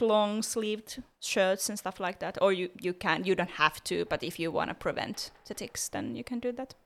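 Moderate pace with hardly any pauses, in a Finnish accent, with ordinary pitch variation, on a very clean recording with a silent background. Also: woman. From Finland. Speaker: podcast co-host. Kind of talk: casual chat.

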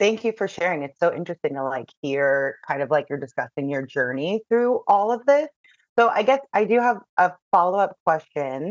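A woman speaks at a fairly low pitch with very wide pitch swings. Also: moderate pace. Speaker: podcast host. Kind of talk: interview.

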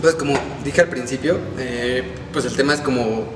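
A man talks at a fairly slow pace. The room echoes audibly and background noise is noticeable. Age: 20s. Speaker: podcast host. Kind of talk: casual chat.

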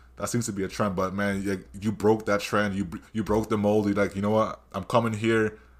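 The pace is fairly quick. The tone is animated. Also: man, fairly low pitch for a man. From Canada. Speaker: podcast host. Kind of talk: casual interview. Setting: video call.

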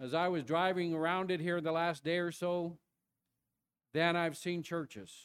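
A man talks at a moderate pace in a high pitch, leaving long, frequent pauses. His intonation is fairly even and his loudness very even. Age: old. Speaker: traveling church-planting preacher. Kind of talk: Baptist-style revival sermon expounding Jonah, with congregational call-and-response. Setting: church service. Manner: earnest, building exhortation with rhetorical questions; folksy, conversational preaching punctuated by prompts for 'amen' from the pews.

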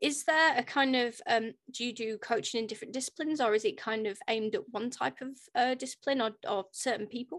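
Against a quiet background, a woman with a high pitch speaks at a fairly quick pace with hardly any pauses and ordinary pitch variation. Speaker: podcast host. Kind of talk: casual interview.

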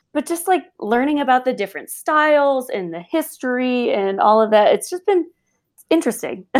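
A woman with an American accent and a high voice speaks at a moderate pace, her pitch swinging very widely, on a very clean recording with a silent background. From US Midwest, Illinois near Chicago. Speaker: graphic designer. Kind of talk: interview conversation.

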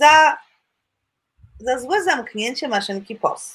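This woman has a high-pitched voice. Her pitch swings very widely. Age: 50s. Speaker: flight attendant. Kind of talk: testimony. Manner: halting.

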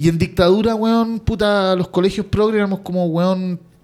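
The pitch varies in an ordinary way. The speaker is male. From Chile. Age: 40s. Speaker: podcast co-host. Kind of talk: casual chat.

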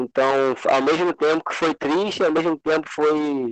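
This man has a normal speaking voice at a fairly high pitch. He talks at a fairly slow pace. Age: 20s. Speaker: journalist. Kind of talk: casual chat.

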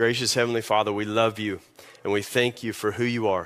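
The voice has a Kentucky accent and a monotone, flat intonation. The pace is fairly quick. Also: man. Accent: Kentucky Southern US. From Kentucky, US. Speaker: lead pastor. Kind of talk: sermon. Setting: church.

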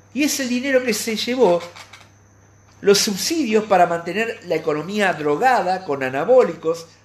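The speaker goes at a fairly slow pace. Noticeable background noise runs underneath. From Argentina. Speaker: radio commentator. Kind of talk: opinion editorial monologue. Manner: halting.

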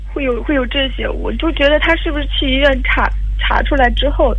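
A woman speaks at a moderate pace, with noticeable background noise and audible room echo. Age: 30s. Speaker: caller. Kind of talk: testimony. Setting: phone call. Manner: quiet; halting.

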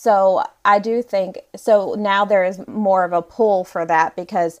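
A woman with an American accent and a normal speaking voice, medium pitch and ordinary pitch variation, over a quiet background. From US South. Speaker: romance author. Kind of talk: casual interview chat.

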